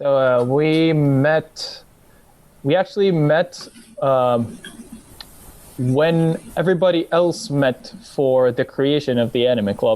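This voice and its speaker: Very slow and with long, frequent pauses, a man with an American accent speaks at a fairly high pitch. His pitch variation is ordinary and his loudness very even. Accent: picked-up American accent, passable. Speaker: former anime club secretary. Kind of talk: casual podcast chat.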